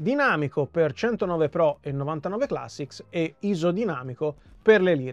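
Very slow pace over faint music in the background. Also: man. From Italy. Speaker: hi-fi and music YouTuber; music YouTuber. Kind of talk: product review. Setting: small home studio. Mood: calm, expressive explaining.

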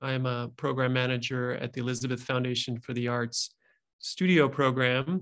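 This is a man with an ordinary speaking voice, medium in pitch, talking at a moderate pace. His intonation stays fairly even against a quiet background. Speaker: program manager at arts foundation. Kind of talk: event introduction. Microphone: video call.

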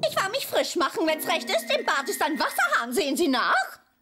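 In a cartoonish character voice, high-pitched and grumpy in tone, the speaker goes at a moderate pace. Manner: grumpy, offended.

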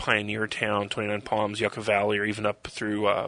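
An unremarkable speaking voice from a man, fairly low in pitch and moderate in pace, in a dry sound with no echo. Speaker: guest. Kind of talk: interview answer. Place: studio.

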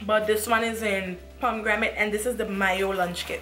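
Faint music plays in the background. A woman speaks at a moderate pace and a fairly high pitch. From Anguilla. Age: young. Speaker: vlogger. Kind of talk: casual talk to camera. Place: home room. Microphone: camera far.

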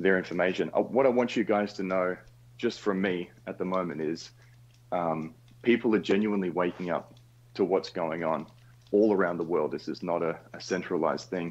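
The speaker is a man with an Australian accent and a very deep, low pitch. He talks at a moderate pace with ordinary pitch variation. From Western Australia. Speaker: caller. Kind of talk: casual chat.

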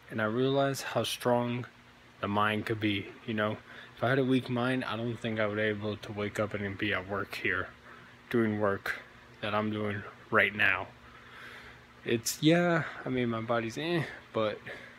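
Speaking at a moderate pace with long, frequent pauses, a man with a fairly low pitch uses ordinary pitch variation over light background noise. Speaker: warehouse worker vlogger. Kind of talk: casual vlog chat. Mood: motivational, reflective. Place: factory. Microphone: phone near.

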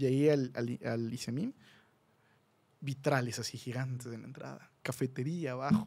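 This man's voice is dark and mellow, with ordinary pitch variation and big swings in loudness. He speaks fairly slowly, with long, frequent pauses. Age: 30s. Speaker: plastic surgeon; guest. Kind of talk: casual chat. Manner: animated. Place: studio. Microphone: studio mic.

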